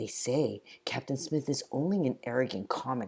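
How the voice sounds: This is a natural reading voice. Its pitch variation is ordinary.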